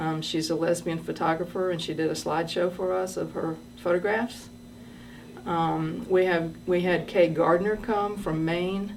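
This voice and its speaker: A woman's fairly low voice with fairly even intonation, in audible room echo. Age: 60s. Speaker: retired schoolteacher and massage therapist, storyteller. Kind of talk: personal storytelling. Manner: hesitant with frequent fillers.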